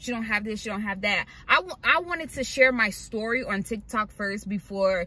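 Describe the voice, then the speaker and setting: A woman's bright, sharp voice carries ordinary pitch variation in a dry sound with no echo. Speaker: vlogger living in her car. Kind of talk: casual vlog chat. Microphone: phone near.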